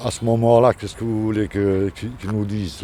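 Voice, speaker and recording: Noticeable background noise under a man's voice, pitched fairly low. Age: 80s+. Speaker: street interviewee. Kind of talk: street interview. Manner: halting, repeats words.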